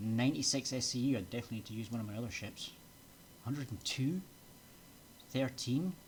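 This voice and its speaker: A very fast delivery in a Scottish accent, with long, frequent pauses. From Scotland. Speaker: VTuber game streamer. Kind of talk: live gameplay commentary. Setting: live stream at home PC. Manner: casual, hesitant with fillers.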